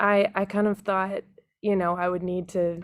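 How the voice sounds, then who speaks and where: With an American accent, a woman speaks at a moderate pace and medium pitch in a flat monotone, on a very clean recording with a silent background. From Texas. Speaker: singer-songwriter. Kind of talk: podcast interview.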